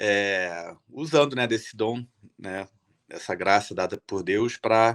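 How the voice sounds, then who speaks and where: A man speaks in a Rio de Janeiro accent with ordinary pitch variation. The sound is dry and close, with no echo. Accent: carioca. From Rio de Janeiro, Brazil. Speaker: illustrator and artist. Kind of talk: talk at event. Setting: stage at event.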